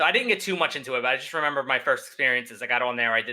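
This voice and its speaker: In a Philadelphia accent, the speaker talks at a very fast pace with ordinary pitch variation. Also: man. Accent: Philadelphia American. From Philadelphia, US. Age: 20s. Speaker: streamer. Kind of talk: casual chat. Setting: live streamed podcast.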